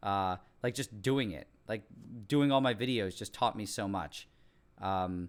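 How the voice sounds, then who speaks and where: Recorded very cleanly over a silent background, a man with a Montreal accent speaks fairly slowly at a fairly low pitch, with ordinary pitch variation and long, frequent pauses. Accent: English Canadian (Montreal). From Quebec, English-speaking Montreal. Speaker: science YouTuber. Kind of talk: live stream Q&A, casual chat. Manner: casual, many fillers and restarts.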